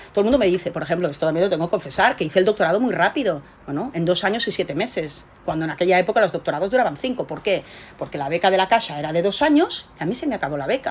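She talks at a very fast pace and a medium pitch for a woman. Her intonation is lively. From Spain, Barcelona. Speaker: research scientist. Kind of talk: interview.

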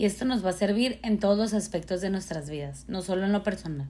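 A woman talks at a fairly quick pace. Her voice is somewhat breathy and sits at a medium pitch. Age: 20s. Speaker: fashion image design graduate. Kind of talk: prepared talk.

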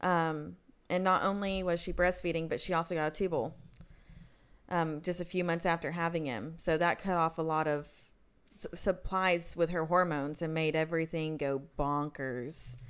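A woman talks at a moderate pace and a fairly low pitch with fairly even intonation, in a plain, everyday voice. Her recording is very clean, with a silent background. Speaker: podcast co-host. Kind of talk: casual chat.

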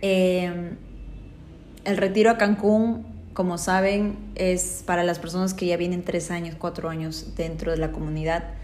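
In a room with audible echo, a woman speaks fairly slowly at a fairly low pitch in a monotone, flat delivery. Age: 20s. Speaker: life coach and podcast host. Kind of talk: motivational monologue.

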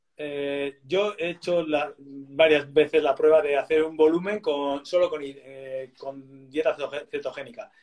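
A man with a fairly high voice speaks very slowly. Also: fairly even intonation. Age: 40s. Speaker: athlete and diabetes educator. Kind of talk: interview.

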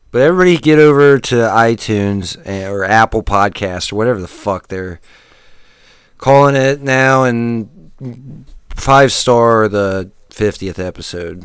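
The recording is very clean, with a silent background. A man in an unremarkable speaking voice, at medium pitch, speaks at a fairly slow pace with lively intonation. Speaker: podcast host. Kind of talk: comedic rant, profane mock-angry tirade; casual comedy podcast banter.

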